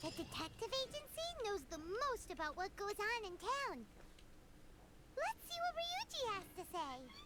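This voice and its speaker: Over loud background noise, someone puts on a character voice at an extremely high pitch. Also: moderate pace. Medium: video game. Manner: excitable, exclamatory.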